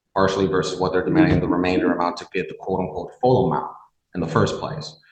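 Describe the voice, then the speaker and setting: A man talks at a very fast pace in a very deep, low pitch with lively intonation. Audible room echo surrounds the voice. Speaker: defense attorney. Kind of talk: courtroom argument.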